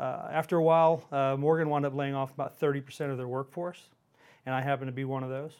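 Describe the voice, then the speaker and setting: An American-accented man rattles along at a very fast pace in a monotone, flat delivery. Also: fairly high pitch for a man. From Houston, Texas. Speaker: regional vice president at a payments company. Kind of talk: casual interview chat.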